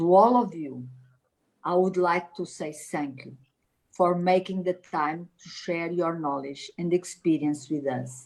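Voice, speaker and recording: A woman with a Portuguese accent speaks at a fairly low pitch. Her pace is fairly slow, and her loudness swings widely. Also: ordinary pitch variation. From Portugal. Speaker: politician and event organizer. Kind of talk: formal opening speech. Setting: video call. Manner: formal.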